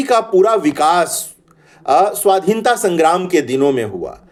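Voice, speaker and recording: A man talks with a Bihari accent. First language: Bhojpuri (speaking Hindi). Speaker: Hindi professor. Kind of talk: lecture. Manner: hesitant fillers, measured.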